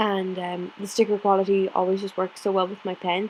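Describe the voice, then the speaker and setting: A woman at a medium pitch speaks in an Irish accent. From Ireland, County Clare. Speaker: planner vlogger. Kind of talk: casual chat. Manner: slow.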